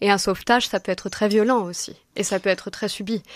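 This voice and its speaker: Speaking with fairly even intonation, a woman keeps a moderate pace. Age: 30s. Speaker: novelist. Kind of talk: radio interview. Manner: halting, many hesitations.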